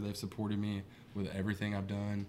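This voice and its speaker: There is a fairly low pitch to this man's voice, with an Appalachian accent. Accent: Southern Ohio, Appalachian. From Southern Ohio. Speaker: musician, songwriter. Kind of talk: casual chat.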